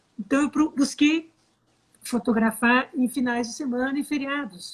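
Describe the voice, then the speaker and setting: Speaking rather slowly, a woman uses a normal amount of pitch movement. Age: 60s. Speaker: photographer. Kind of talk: interview. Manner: animated.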